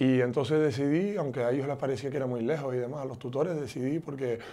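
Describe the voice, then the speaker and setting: With a Canarian accent, a man speaks at a fairly quick pace and medium pitch in a dark, mellow tone with fairly even intonation. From Canary Islands, Tenerife (Ofra, Santa Cruz); Canary Islands. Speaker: politician. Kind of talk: interview; interview answer. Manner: halting. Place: home room. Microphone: lapel.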